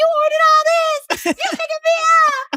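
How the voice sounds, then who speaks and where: Someone talks at a fairly quick pace in a put-on character voice. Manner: flirty.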